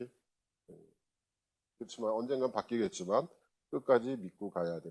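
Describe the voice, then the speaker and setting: A man at medium pitch speaks with lively intonation at a moderate pace. Long, frequent pauses run through it, and the sound is dry and close with no echo. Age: 60s. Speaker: university lecturer. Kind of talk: lecture. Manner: casual, conversational with filler sounds.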